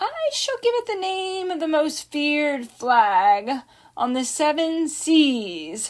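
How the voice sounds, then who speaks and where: In a put-on character voice, a woman talks at a very slow pace and a high pitch. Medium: read story. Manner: pompous, irritable.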